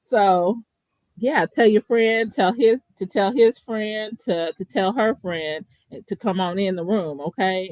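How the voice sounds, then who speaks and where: A woman speaks with a Kentucky accent. Her intonation is lively. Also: dry, close sound with no echo. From Kentucky (Bowling Green). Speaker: podcast co-host, therapist. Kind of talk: casual chat.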